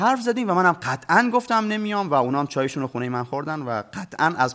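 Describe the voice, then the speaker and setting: Very fast and bright with a sharp tone, a man's voice leaps through very wide pitch swings. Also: quiet background. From Bushehr, southern Iran. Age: 40s. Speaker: storyteller and TV program presenter. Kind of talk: storytelling in a TV interview.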